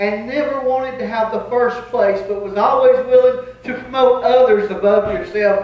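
A man speaks with an extremely high pitch. Audible room echo surrounds the voice. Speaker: pastor. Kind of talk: sermon. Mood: joyful, grateful. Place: church.

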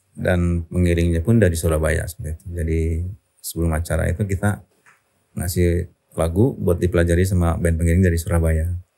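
Against a quiet background, a man with a very deep, low pitch and a dark, mellow tone talks at a very fast pace with fairly even intonation. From Indonesia. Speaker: rock singer; podcast guest. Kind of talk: interview answer. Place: studio. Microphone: studio mic.

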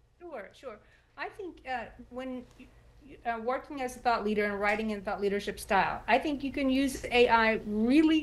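A woman with an American accent speaks at a high pitch and moderate pace, with ordinary pitch variation and big swings in loudness. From Texas. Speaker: writer and former journalist; former journalist. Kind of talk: TV interview. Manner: halting. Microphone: video call.

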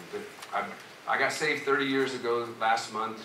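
Against noticeable background noise and audible room echo, a man speaks with fairly even intonation. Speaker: pastor. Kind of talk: sermon. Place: church.

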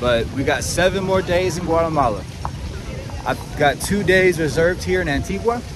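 Noticeable background noise sits behind a man's voice, which sounds dry with no echo. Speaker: travel vlogger. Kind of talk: casual vlog chat. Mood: relaxed, grateful. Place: street. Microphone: phone near.

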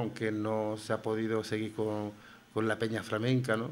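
Fairly slow pace from a male speaker. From Spain, Granada (Albaicín); Spain. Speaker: writer and flamenco figure; radio guest. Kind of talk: radio interview. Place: studio. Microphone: studio mic.

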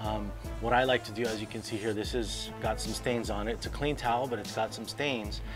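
Music plays clearly in the background as a man speaks at a moderate pace. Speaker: car care product demonstrator. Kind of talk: tutorial. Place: street.

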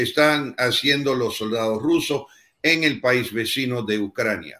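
Against a quiet background, a man speaks in an English accent with a bright, sharp tone and ordinary pitch variation. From United States. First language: English (speaking Spanish). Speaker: former US ambassador; guest. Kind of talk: panel discussion. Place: home room.

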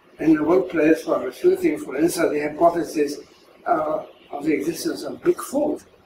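A man speaks at a fairly slow pace. Light background noise and audible room echo fill the recording. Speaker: philosopher of science. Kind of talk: interview answer. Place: home room.

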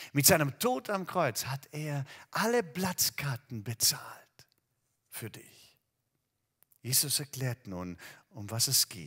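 A man's very slow speech with long, frequent pauses, very wide pitch swings and big swings in loudness, over a quiet background. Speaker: preacher. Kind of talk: sermon. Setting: empty hall, recorded video. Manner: warm, direct address to the listener. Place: church. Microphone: headset.

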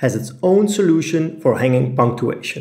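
With a Dutch accent, a man talks with lively intonation. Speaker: graphic design tutor. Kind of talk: tutorial.

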